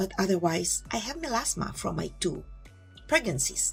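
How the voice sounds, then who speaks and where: A woman talks at a moderate speed. Background music can be heard behind her. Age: 60s. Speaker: beauty vlogger. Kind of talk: casual vlog talk.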